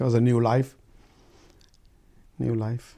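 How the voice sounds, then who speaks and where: A man speaks at a fairly slow pace with a Pakistani Punjabi accent. His voice sits at a medium pitch and has a dark, mellow tone. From Pakistan, Punjab (rural Rawalpindi). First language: Urdu/Punjabi. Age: 60s. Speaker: oral history interviewee. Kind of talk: oral history interview. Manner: halting, many fillers.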